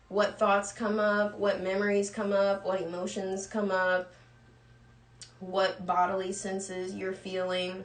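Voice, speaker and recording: Through audible room echo, a woman speaks with monotone, flat intonation. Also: medium pitch for a woman. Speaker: cannabis coach and live show host. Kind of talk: livestream lecture. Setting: live stream. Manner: fast, talking without pausing for breath.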